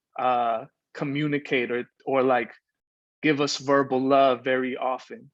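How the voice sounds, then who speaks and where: Monotone and flat in intonation, a man speaks with a Spanish accent. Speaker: poet. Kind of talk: casual talk between poems; poetry reading.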